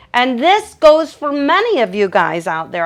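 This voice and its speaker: A woman talks loudly in an animated tone, her pitch swinging very widely. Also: quiet background. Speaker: dog groomer. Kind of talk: livestream Q&A tutorial. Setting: livestream from grooming table.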